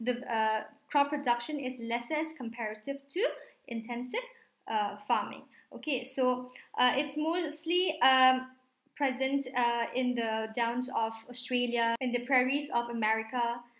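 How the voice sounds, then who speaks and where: Speaking fairly slowly with ordinary pitch variation, a woman with a high voice is heard in audible room echo. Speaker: online exam tutor. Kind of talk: lecture.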